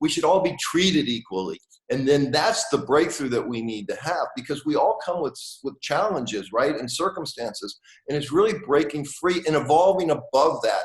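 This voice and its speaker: A man with an American accent has a plain, everyday voice, fairly high in pitch and moderate in pace. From US. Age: 60s. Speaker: author and manifestation teacher. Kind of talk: interview.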